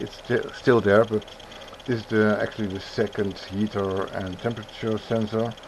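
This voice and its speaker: This voice belongs to a male speaker. Background noise is clearly audible throughout. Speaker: 3D printing hobbyist YouTuber. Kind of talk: tutorial. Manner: halting.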